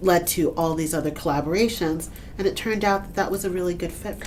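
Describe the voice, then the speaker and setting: Female speech, fairly low in pitch, at a moderate tempo with ordinary pitch movement over noticeable background noise. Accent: New York. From Brooklyn, New York. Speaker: author and TV writer. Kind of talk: interview answer.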